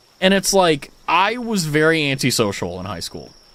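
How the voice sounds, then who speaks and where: With an American accent, a man talks in very wide pitch swings. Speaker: streamer. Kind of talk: casual chat. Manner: clearly enunciated, pronounces every syllable; casual, many fillers.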